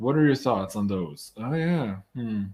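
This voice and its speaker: A man with an unremarkable speaking voice talks at a moderate pace in a medium pitch with lively intonation. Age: 40s. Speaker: astrologer, show host. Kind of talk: live Q&A interview.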